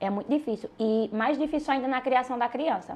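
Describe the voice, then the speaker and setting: A woman's ordinary speaking voice, fairly quick, with ordinary pitch variation. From Pernambuco backlands, Brazil (Ouricuri). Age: 20s. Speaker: social media influencer. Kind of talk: casual chat.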